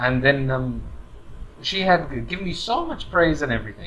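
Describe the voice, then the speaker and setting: A man with a British accent at a moderate pace, amid noticeable background noise. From UK. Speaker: corporate trainer. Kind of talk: advice monologue. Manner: casual, hesitant with fillers.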